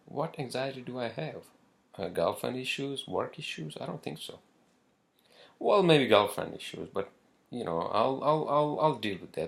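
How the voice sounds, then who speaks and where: A man with a non-native accent speaks at a moderate pace, with big swings in loudness. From northern Pakistan. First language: not English. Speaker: podcaster. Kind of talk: casual solo podcast monologue. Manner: halting, many fillers and repetitions.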